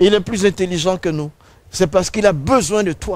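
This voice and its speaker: This is a man talking. His pitch is high. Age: 70s. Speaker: preacher. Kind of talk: sermon.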